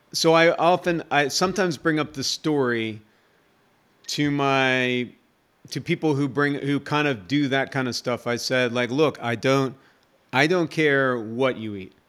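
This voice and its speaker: A man with an American accent and a normal speaking voice, fairly high in pitch, fairly slow, with ordinary pitch variation, on a very clean recording with a silent background. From USA. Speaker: nurse, army veteran and vegan author. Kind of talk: casual interview chat.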